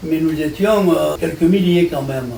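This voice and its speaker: Amid noticeable background noise and audible room echo, a man with a high voice talks at a fairly quick pace. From France, Marseille. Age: 80s+. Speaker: war veteran and deportation survivor. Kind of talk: interview testimony. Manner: halting.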